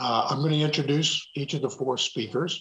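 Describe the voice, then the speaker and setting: A man speaks at a moderate pace in a somewhat breathy voice. The background is quiet. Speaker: webinar host. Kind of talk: event introduction. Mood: upbeat, welcoming. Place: home room. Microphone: webcam.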